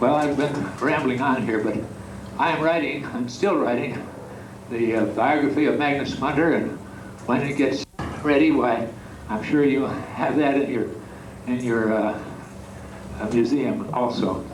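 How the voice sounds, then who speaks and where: A man of medium pitch at a moderate pace, with long, frequent pauses, ordinary pitch variation, noticeable background noise and audible room echo. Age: 80s+. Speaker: retired pastor and biographer. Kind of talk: reminiscence talk. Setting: chapel with audience. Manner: halting, many fillers.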